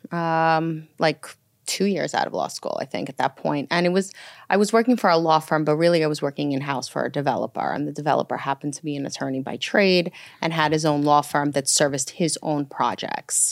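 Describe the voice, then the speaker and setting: Very deep and low, a woman's voice carries a New York accent. The sound is dry and close with no echo, on a very clean recording with a silent background. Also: ordinary pitch variation, fairly quick pace. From New York (Brooklyn, Long Island). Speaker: commercial real estate lawyer. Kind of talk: casual chat.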